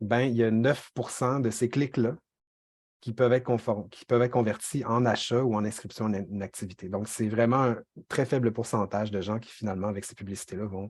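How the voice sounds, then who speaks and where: Over a quiet background, a man speaks at a medium pitch with fairly even intonation. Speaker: workshop trainer, communications officer. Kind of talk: online training lecture. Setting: video call, screen sharing. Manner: fast; hesitant, many fillers.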